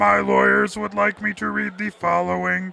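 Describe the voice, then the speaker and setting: Using a put-on character voice, a man talks at a moderate pace. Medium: voice reel. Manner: stiff, insincere.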